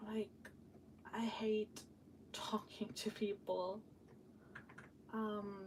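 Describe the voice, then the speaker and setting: Against noticeable background noise, a woman with a fairly high pitch speaks in a monotone, flat intonation at a very slow pace with long, frequent pauses. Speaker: vlogger / live streamer. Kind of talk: casual work-along live stream chat. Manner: chatty, hesitant with many fillers.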